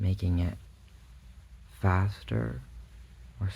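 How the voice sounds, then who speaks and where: A man's very deep, low voice, soft-spoken and calm in tone, dark and mellow, with vocal fry and lively intonation. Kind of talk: ASMR bedtime visualization, soft-spoken guided relaxation. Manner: soft-spoken, calm, slow.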